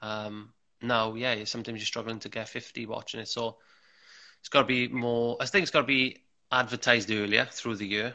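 Fairly even intonation in a Welsh accent over a quiet background. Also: man. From Wales. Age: 30s. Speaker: table tennis player and coach; coach. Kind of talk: casual interview chat. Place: home room. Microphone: earbuds.

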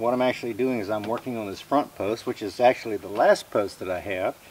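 Light background noise sits behind a man talking with ordinary pitch variation. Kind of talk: tutorial. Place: open country.

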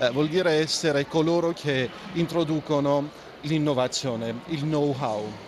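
A man with an Armenian accent speaks at a fairly high pitch. The sound is dry with no echo, but there is noticeable background noise. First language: Armenian (speaking Italian). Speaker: ambassador; interviewee. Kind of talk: interview. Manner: halting, many fillers. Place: studio. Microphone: handheld.

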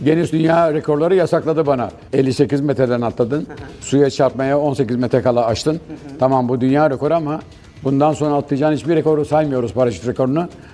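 A very fast-talking man with fairly high pitch, fairly even intonation, very even loudness and noticeable background noise. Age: 70s. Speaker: retired special forces commando and parachutist. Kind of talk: interview answer.

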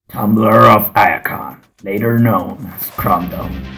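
A man's fairly low voice comes through with music in the background. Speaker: hobby stop-motion animator and toy reviewer. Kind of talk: character backstory narration read from script. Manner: amateur test recording.

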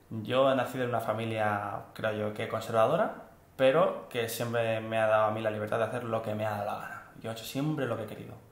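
A man talks at a very fast pace with a medium pitch and a monotone, flat intonation. Noticeable background noise runs underneath. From Spain, Barcelona. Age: 20s. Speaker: engineering consultant. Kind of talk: interview. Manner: halting.

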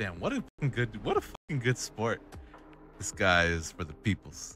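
A man at a fairly low pitch and moderate pace, in a dry sound with no echo and faint music in the background. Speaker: voice actor. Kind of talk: casual gaming chat. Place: home room.

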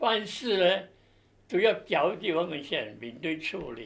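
Here a man talks in a high-pitched voice. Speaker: military police veteran. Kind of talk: oral history interview answer. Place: office.

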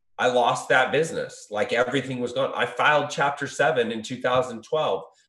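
Audible room echo surrounds a voice with an American accent. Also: man, quiet background. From Southern California. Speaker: recovery business founder; podcast guest. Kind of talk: interview. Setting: video call. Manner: halting, repetitive. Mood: reflective, candid. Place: home room. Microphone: video call.

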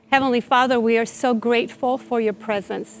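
A woman speaking at a fairly slow pace, with faint music in the background. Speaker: teaching pastor. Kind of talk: prayer. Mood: calm, earnest, prayerful. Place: church. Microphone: lapel.

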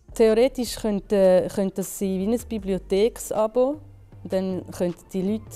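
A woman speaks fairly slowly in a Zurich accent. Faint music plays in the background. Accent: Zurich Swiss German dialect. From Zurich, Switzerland. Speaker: business economist, co-founder of a material market. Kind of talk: interview answer. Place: factory. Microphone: lapel.

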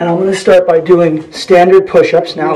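A man is talking. His voice sits high. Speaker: teacher giving workout tips. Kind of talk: casual tutorial. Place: home room. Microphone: phone near.

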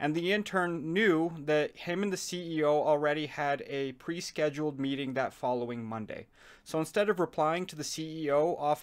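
Against a quiet background, a man talks at a moderate pace. His pitch varies in an ordinary way. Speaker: commentary video maker. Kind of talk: commentary. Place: home room. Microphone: phone near.

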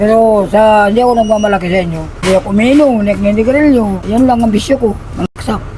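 Speech comes at a very fast pace with fairly even intonation. The speaker has an Eastern Visayan accent. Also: man, high pitch for a man. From Eastern Visayas, Philippines. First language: Waray (speaking Tagalog). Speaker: former prisoner and gang member. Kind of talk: personal storytelling interview.

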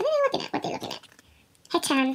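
A woman talks in an upbeat tone over light background noise. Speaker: fan unboxing merchandise. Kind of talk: casual unboxing talk to camera. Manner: upbeat, chatty. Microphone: phone near.

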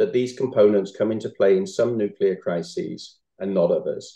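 A man talks at a moderate pace with a dark, mellow tone and a slightly husky edge. His pitch shows ordinary variation.

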